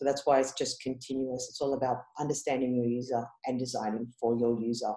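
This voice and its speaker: In an Australian accent, a woman with a very deep, low pitch and a dark, mellow tone talks at a very fast pace with monotone, flat intonation. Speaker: head of user experience. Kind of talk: conference presentation. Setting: online conference. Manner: casual, many fillers.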